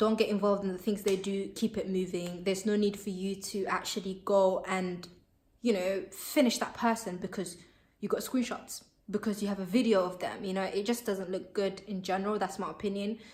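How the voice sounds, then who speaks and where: At a fairly quick pace, a woman talks in a medium pitch. Her voice is somewhat breathy. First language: Somali. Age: 20s. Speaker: vlogger. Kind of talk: casual opinion vlog. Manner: animated.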